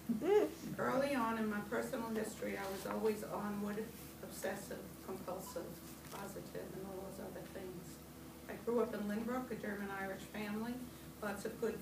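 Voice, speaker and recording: Moderately paced speech from a woman amid noticeable background noise. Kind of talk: personal memoir reading. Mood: warm, wry humor. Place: meeting room. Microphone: camera far.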